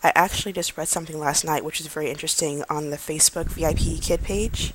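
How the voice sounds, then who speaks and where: A woman talks at a very fast pace. Her voice is quiet. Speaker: vlogger, online English teacher applicant. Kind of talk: casual vlog talk. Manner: quiet, low-key; calm, not hyperactive.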